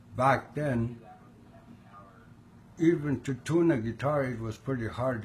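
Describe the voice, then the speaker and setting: A man speaks at a fairly slow pace, sounding somewhat breathy. His pitch varies in an ordinary way. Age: 60s. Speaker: guitar player. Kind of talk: interview answer.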